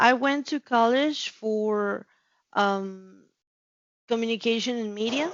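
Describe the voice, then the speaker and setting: Long, frequent pauses break up a woman's very slow speech. Her pitch is fairly high, with ordinary variation. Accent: Spanish. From Mexico City. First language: Spanish. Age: 30s. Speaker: customer care representative. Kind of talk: interview. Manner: halting, many repetitions and fillers.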